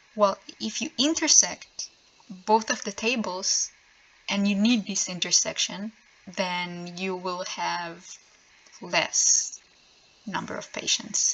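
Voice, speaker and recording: A woman with a non-native accent speaks at a very slow pace and a medium pitch. Long, frequent pauses break up her speech. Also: ordinary pitch variation. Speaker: programmer. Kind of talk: software tutorial explanation. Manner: slow, hesitant with many filler sounds.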